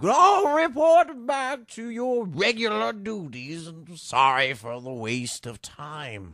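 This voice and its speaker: Using a put-on character voice, a man speaks high-pitched at a fairly slow pace with hardly any pauses, very wide pitch swings and big swings in loudness. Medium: audio drama. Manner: hesitant, bureaucratic.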